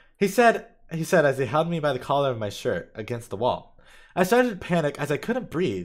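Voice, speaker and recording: Talking at a very fast pace, a man uses a fairly high pitch with very wide pitch swings and vocal fry. The recording is very clean, with a silent background. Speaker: streamer reading own stories. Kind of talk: reading aloud. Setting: live stream. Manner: halting, with fillers and repeats.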